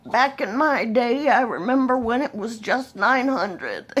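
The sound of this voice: Using a put-on character voice, a female-sounding speaker talks at a moderate pace in a high pitch.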